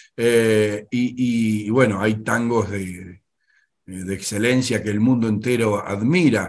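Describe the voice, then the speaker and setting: Speaking at a very slow pace, a man keeps his fairly low voice in fairly even intonation. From Argentina. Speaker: interviewer. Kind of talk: interview. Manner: halting, repeats words. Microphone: video call.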